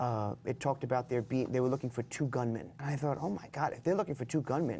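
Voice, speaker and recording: In a very clean recording with a silent background, a man with a medium pitch, a dark, mellow tone and a somewhat breathy quality talks at a very fast pace with ordinary pitch variation. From US Northeast, Long Island. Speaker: prison education director. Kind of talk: interview.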